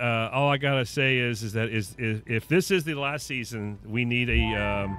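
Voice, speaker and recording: With music in the background, the speech moves at a moderate pace with ordinary pitch variation and hardly any pauses. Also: man. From Mississippi, US South. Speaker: gaming streamer. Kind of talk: casual chat. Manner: halting, many repeated words.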